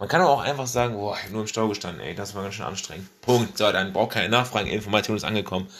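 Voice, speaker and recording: A man with a fairly low pitch races along at a very fast pace, his intonation fairly even. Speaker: solo podcast host. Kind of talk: casual monologue. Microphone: faulty mic replaced after crackling.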